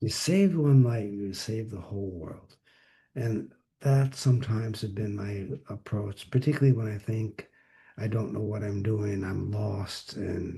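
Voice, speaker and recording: Fairly low in pitch, a man speaks somewhat breathily at a fairly slow pace. His tone is dark and mellow, with ordinary pitch variation. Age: 80s+. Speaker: psychotherapist. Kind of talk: interview. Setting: video call. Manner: halting.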